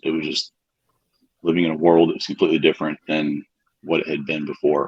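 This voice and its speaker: A man speaks in a calm tone. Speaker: patient sharing recovery story. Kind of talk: interview.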